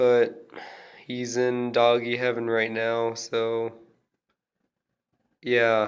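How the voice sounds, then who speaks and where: At a very slow pace, a man speaks in a monotone, flat intonation with long, frequent pauses. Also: medium pitch for a man. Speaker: video blogger. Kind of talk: casual vlog.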